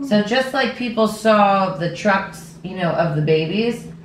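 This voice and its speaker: A woman at a very slow pace with lively intonation, light background noise and audible room echo. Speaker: podcast host. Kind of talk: casual interview talk. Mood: earnest, emotional. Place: kitchen.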